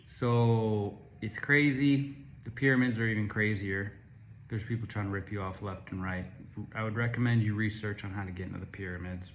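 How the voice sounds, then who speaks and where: Fairly even intonation in an American accent, with audible room echo. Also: man. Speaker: travel vlogger. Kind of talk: casual travel review vlog. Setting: self-recorded on camera.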